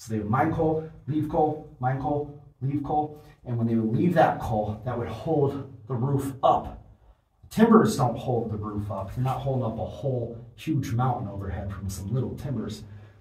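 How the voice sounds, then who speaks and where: A man's voice, varying in pitch in an ordinary way, is heard with audible echo from the room. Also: moderate pace. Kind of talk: casual vlog commentary. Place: tunnel cave.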